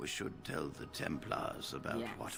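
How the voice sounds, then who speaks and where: A man performs a put-on character voice at a moderate pace against loud background noise. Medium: game stream. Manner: formal, measured.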